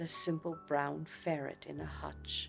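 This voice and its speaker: Over music in the background, a woman with an American accent speaks at a fairly slow pace. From United States. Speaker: voice actor. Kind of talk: short story reading for sleep.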